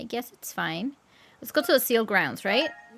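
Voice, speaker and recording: A woman's raised, projected voice in a Spanish accent. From Mexico. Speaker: gaming streamer. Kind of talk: live gameplay stream chat. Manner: casual, chatty.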